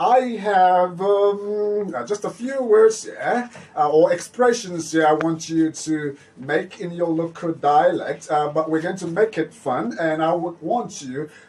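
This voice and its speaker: The speech shows ordinary pitch variation, unfolds at a fairly slow pace, and has noticeable background noise behind it. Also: man. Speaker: radio host. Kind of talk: children's radio show. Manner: animated.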